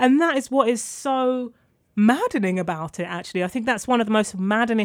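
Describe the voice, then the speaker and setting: A woman with a London accent speaks at a fairly quick pace with lively intonation. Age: 20s. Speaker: author and journalist. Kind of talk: interview.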